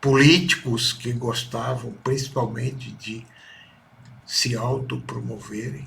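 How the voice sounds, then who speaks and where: The speech moves at a very slow pace with fairly even intonation. Vocal fry runs through the voice. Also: man, medium pitch for a man. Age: 60s. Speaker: son giving testimony about his mother. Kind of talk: personal testimony. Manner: halting.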